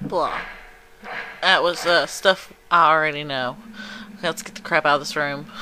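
A woman with a very deep, low pitch speaks at a fairly slow pace, leaving long, frequent pauses. Her pitch varies in an ordinary way, her loudness swings widely, and background noise is noticeable. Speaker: gaming video creator. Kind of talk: let's play commentary. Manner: quieter than usual. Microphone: capture device audio with crackling noise.

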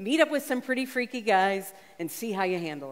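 A woman at a moderate pace, with very wide pitch swings. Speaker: preacher. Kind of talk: sermon. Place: stage.

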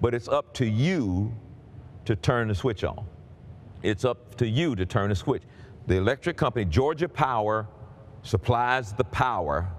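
A man at a moderate pace, with lively intonation and long, frequent pauses. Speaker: pastor. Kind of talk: sermon. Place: stage. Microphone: headset.

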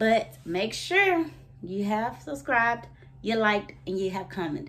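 The speaker is a woman. Her tone is bright and sharp. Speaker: vlogger. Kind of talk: casual vlog chat.

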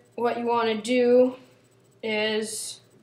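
A woman's flat, monotone intonation amid audible room echo. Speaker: tutorial maker. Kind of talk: tutorial. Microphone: phone near.

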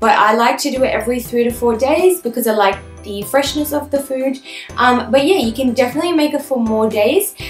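A woman talks at a fairly quick pace and high pitch with ordinary pitch variation, amid audible room echo and faint music in the background. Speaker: lifestyle vlogger. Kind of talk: casual vlog chat. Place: home room.

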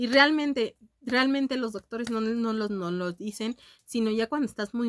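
Against a quiet background, a woman speaks in an animated tone with a Mexican accent. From Mexico. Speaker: beauty youtuber. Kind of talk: casual vlog chat. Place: home room. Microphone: webcam.

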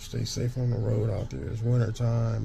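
A man speaks over light background noise. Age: 40s. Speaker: truck driver and vlogger; vlogger. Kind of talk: casual monologue to camera. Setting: sitting in bed. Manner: animated. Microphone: phone near.

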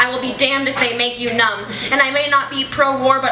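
A woman speaks in a raised, projected voice at a fairly quick pace. Noticeable background noise runs underneath. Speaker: youth slam poet. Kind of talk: spoken word poetry performance. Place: cafe.

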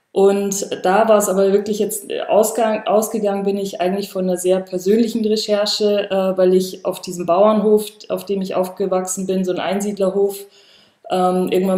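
A woman speaks at medium pitch and a moderate pace, her intonation monotone and flat, with audible room echo around her. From rural Bavaria. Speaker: artist; artist on a panel. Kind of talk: panel discussion. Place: home room.

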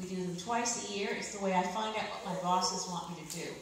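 A woman at a moderate pace with ordinary pitch variation, in strong room echo over light background noise. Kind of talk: political speech. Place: hall.

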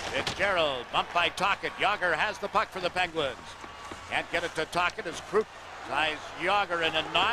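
A man with a high pitch talks in an excited tone. The sound is dry with no echo, and there is noticeable background noise. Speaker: play-by-play hockey commentator. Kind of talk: live hockey play-by-play commentary. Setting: broadcast booth at the arena during a live TV game. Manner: fast, rapid-fire play-by-play that builds to a loud, excited call on goals; fluent, measured broadcaster delivery with sponsor reads and game updates. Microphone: headset.

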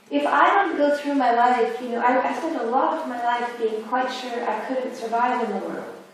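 At a moderate pace with hardly any pauses, a woman speaks at a high pitch with ordinary pitch variation, amid strong room echo and light background noise. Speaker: academic philosopher or artist on panel. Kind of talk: academic round-table discussion. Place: hall.

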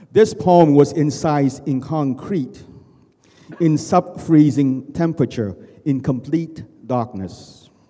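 A man with a fairly high voice and a dark, mellow tone speaks at a fairly slow pace. His loudness swings in big jumps. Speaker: poet and writer; poet. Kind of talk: poetry reading. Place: hall. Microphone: handheld.

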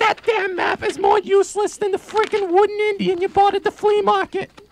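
A man puts on a character voice at an extremely high pitch. He talks fairly quickly in a monotone, flat way. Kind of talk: improvised college radio comedy skit. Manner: agitated, rapid, talking over the other speaker, sarcastic.

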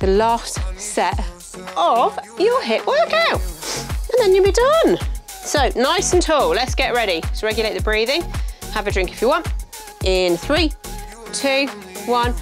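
Clear music plays in the background as a woman talks at a fairly slow pace. Her speech has long, frequent pauses. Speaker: fitness instructor. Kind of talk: workout instruction. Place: studio.

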